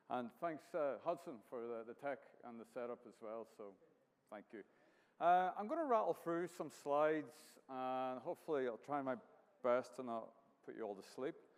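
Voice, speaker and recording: A man with a Northern Irish accent speaks at a medium pitch and a moderate pace, with lively intonation. His loudness swings widely, and he takes long, frequent pauses. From Northern Ireland, County Down. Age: 50s. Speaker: artist. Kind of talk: artist talk with slides. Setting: venue with live audience.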